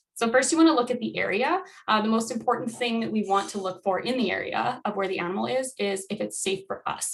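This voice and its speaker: A woman talks at a very fast pace in a fairly high voice. Background noise is noticeable. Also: ordinary pitch variation. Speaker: wildlife educator. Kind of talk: educational presentation.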